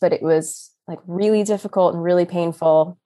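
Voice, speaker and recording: On a very clean recording with a silent background, a woman talks in an ordinary speaking voice at a fairly low pitch. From Texas, Austin. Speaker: new mother sharing birth story. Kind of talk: casual interview, personal story.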